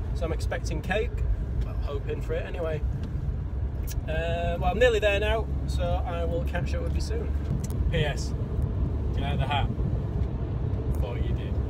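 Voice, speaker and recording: A man talks at a moderate pace, leaving long, frequent pauses. Loud background noise runs behind him. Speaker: angler vlogger. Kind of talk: casual vlog chat. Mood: cheerful, relaxed. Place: car. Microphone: phone near.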